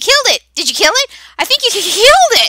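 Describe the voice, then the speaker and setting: A put-on character voice rattles along at a very fast pace. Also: woman. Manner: chattering, excited.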